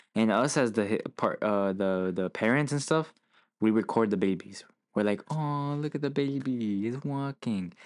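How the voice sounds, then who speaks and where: A man with a plain, everyday voice, medium in pitch, with ordinary pitch variation, at a moderate pace. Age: 20s. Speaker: podcast co-host. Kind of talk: casual chat.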